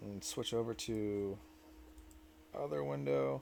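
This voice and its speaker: This voice belongs to a man. Its tone is dark and mellow. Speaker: 3D printing tutorial maker. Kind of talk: tutorial. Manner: stuttering; casual, halting. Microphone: new mic.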